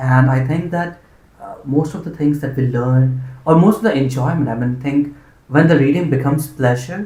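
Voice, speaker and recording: Somewhat breathy and fairly high for a man, his dark, mellow voice moves at a moderate pace with ordinary pitch variation. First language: Hindi. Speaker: interviewer, channel host. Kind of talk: casual interview conversation. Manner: hesitant, many fillers.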